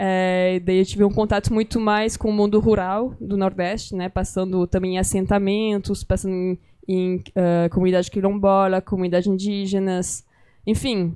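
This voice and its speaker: Against a quiet background, someone with a French accent speaks at a moderate pace in a dark, mellow tone, intonation monotone and flat. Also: woman, medium pitch for a woman. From France. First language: French (speaking Portuguese). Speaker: writer and documentary filmmaker. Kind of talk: interview conversation at a literary gathering. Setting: library event with live audience.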